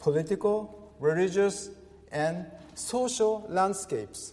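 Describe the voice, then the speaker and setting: A man's high voice at a very slow pace over noticeable background noise. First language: Japanese. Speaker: pastor. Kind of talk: sermon. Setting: church. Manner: halting.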